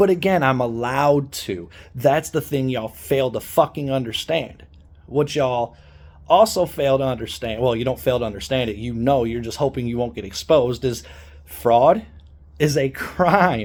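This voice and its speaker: A man's animated voice at a medium pitch, with ordinary pitch variation and a moderate pace. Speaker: activist vlogger. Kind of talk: angry rant. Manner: loud.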